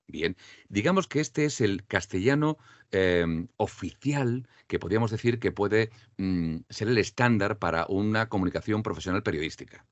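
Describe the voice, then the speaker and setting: Speaking at a moderate pace, a man uses a fairly low pitch and lively intonation. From Andalusia, Spain. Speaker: voice-over artist and diction teacher. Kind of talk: interview. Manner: clear trained diction.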